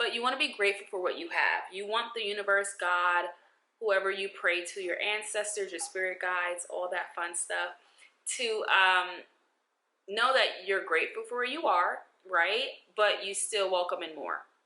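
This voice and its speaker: Here a woman speaks with a New York accent. Her voice sits at a medium pitch with ordinary variation. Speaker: lifestyle vlogger. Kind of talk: advice vlog. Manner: animated.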